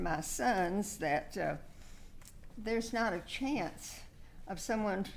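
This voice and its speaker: Speaking with an American accent and vocal fry, a woman moves at a fairly slow pace with long, frequent pauses, and audible room echo around her. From South Texas. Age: 80s+. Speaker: local award nominee. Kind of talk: speech at council meeting. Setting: council meeting room. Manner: halting.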